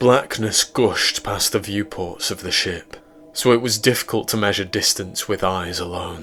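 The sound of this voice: Pitch shifts in an ordinary way as an unforced reading voice goes on.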